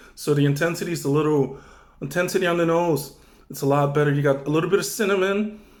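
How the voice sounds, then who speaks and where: Fairly quick speech from a man with a fairly high pitch, plus audible room echo. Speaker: wine reviewer YouTuber. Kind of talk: casual wine tasting vlog. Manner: loud, near shouting.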